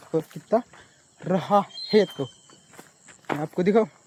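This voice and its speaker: Dry and close with no echo but with noticeable background noise, the clip has a man speaking with fairly even intonation. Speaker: farmer vlogger. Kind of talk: casual vlog narration. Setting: outdoors in a field. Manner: halting in Hindi.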